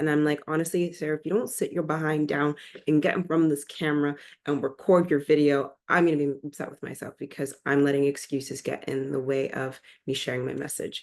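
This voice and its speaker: Speaking at a fairly quick pace, a woman uses a very deep, low pitch with fairly even intonation. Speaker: nurse and caregiver advocate. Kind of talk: casual vlog monologue. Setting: recording alone to camera.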